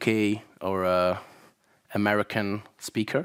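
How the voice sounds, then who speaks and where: A Belgian accent in a dry, close sound with no echo, in a very clean recording with a silent background. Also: man. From Belgium (Flanders). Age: 30s. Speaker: YouTuber. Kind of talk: conference talk. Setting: stage with audience.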